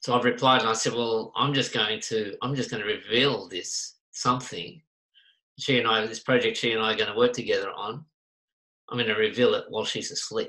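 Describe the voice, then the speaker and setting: Using a bright, sharp tone, a man with an Australian accent talks at a medium pitch and a fairly quick pace. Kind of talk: casual chat. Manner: animated.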